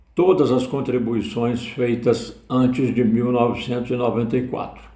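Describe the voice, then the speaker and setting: A man's medium-pitched voice, dark and mellow in tone, with audible room echo. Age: 70s. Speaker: retiree. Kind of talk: personal testimony.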